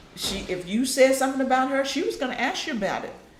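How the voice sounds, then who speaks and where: A woman speaks with an American accent. Audible room echo and noticeable background noise are present. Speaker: family member recalling her mother. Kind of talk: family group interview.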